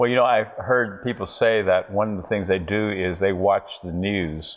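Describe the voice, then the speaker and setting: An unremarkable speaking voice belongs to a man with an American accent. He talks at a moderate pace with fairly low pitch and fairly even intonation. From USA. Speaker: TV talk show host. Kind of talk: interview.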